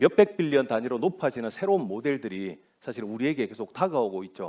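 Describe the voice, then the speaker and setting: A man's medium-pitched voice, dark and mellow in tone, at a fairly quick pace with very wide pitch swings. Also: big swings in loudness. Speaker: cloud solutions architect, conference speaker. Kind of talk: conference presentation. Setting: stage with audience.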